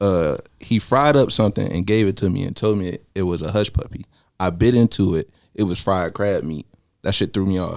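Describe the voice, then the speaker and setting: With a Savannah accent, a man speaks at a fairly quick pace. His pitch is fairly low, with ordinary variation. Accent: Savannah Georgia. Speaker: rapper. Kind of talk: casual chat.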